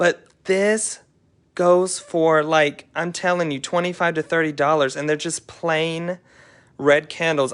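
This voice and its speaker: Against a quiet background, a man talks fairly slowly in a normal speaking voice with fairly high pitch. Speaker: thrift reseller and channel host. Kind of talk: live haul show-and-tell. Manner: casual, chatty.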